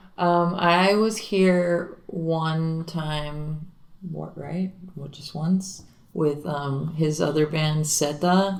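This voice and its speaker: With a Spanish accent, a woman speaks at a very slow pace and a fairly low pitch with fairly even intonation and big swings in loudness, with audible room echo. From Miami, Florida. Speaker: singer and guitarist in a garage rock band. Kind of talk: casual interview.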